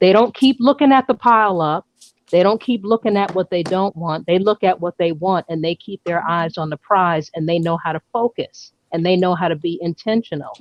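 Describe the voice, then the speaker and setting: With an American accent, a woman talks at a moderate pace in a medium pitch. Her tone is animated, with ordinary pitch variation. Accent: New York accent, stronger when excited. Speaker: live stream host. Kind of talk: casual live stream discussion.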